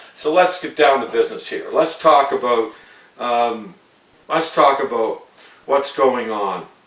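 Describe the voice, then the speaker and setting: This man has a Canadian accent and a fairly high pitch, with ordinary pitch variation. He speaks at a fairly slow pace over noticeable background noise. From Canada. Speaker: sports commentary vlogger. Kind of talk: opinion rant monologue. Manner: stumbling, repetitive.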